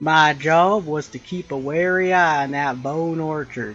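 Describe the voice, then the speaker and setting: Putting on a character voice in a drawling Texan accent, a man talks at a moderate pace with a fairly high pitch. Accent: Texan cowboy drawl. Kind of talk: intense put-on cowboy voice. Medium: game stream. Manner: drawling, laconic, wild-west slang.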